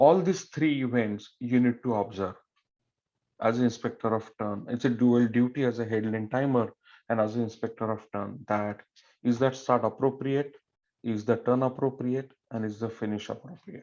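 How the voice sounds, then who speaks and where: Fairly even intonation in a man's dark, mellow tone. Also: medium pitch for a man, moderate pace, quiet background. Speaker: swim meet referee. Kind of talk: officials briefing. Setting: online meeting.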